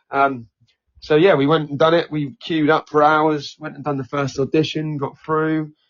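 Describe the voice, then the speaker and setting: A man with a Norfolk accent speaks at a moderate pace in a monotone, flat intonation. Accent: East Norfolk. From Norfolk, England (Norwich). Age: 30s. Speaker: singer and comedy performer. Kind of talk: podcast interview.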